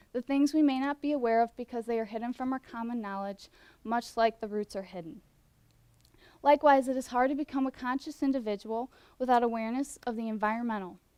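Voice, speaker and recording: At a very fast pace, a woman with a slight Midwestern US accent speaks in a high pitch with a dark, mellow tone and ordinary pitch variation, recorded very cleanly with a silent background and a dry, close sound with no echo. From US Midwest. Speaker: student competition finalist. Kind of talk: prepared presentation.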